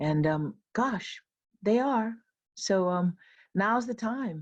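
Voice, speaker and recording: In a Hawaiian accent, a woman speaks at a very slow pace, her voice somewhat breathy. Her pitch swings very widely against a quiet background. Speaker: professor and keynote speaker. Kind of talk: closing remarks at virtual retreat. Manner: casual, many fillers.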